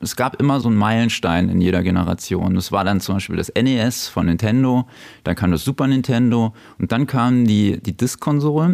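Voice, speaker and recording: The recording is very clean, with a silent background. A man with a normal speaking voice talks at a moderate pace and medium pitch, with ordinary pitch variation. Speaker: video game shop owner. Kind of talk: casual interview. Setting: in his shop.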